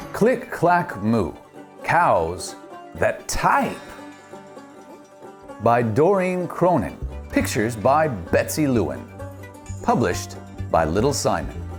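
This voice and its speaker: Upbeat, playful speech moves at a very slow pace with very wide pitch swings and very even loudness. Music plays in the background. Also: man, medium pitch for a man. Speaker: voice actor. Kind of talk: children's storybook read-aloud.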